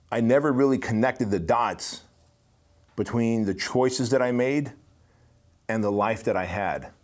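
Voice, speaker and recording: Speaking with an American accent, a man keeps a moderate pace and a medium pitch. His pitch varies in an ordinary way, and he takes long, frequent pauses. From immigrant to US at age six. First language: not English. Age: 40s. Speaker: business podcast host. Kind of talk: motivational monologue. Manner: casual, conversational.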